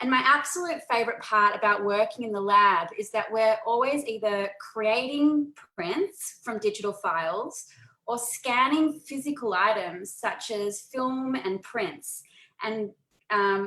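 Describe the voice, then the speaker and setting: A woman with an Australian accent speaks at a fairly slow pace, her fairly high voice bright and sharp with lively intonation. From Australia, Melbourne. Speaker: photographer and photo organizing presenter. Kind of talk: webinar presentation. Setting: video call.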